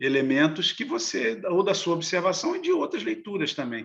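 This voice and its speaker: Very wide pitch swings in a man's high voice. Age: 60s. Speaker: novelist. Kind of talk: interview. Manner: halting.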